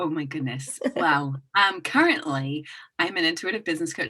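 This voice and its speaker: At a moderate pace, a woman speaks in a bright, sharp tone. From England and Hong Kong. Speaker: intuitive business coach. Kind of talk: podcast interview. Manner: hesitant, many fillers.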